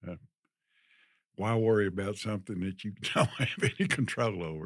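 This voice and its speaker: Delivered at a moderate pace with ordinary pitch variation, the speech comes with a Texan accent on a very clean recording with a silent background. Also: man, fairly low pitch for a man. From Texas. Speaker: retiree guest. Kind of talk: interview. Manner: hesitant.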